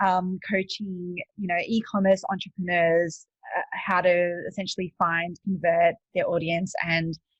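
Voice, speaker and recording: In an Australian accent, a woman speaks at a fairly low pitch and a fairly slow pace, somewhat breathy, with monotone, flat intonation. The sound is dry and close with no echo. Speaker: e-commerce coach and entrepreneur. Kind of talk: podcast interview. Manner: hesitant, many fillers.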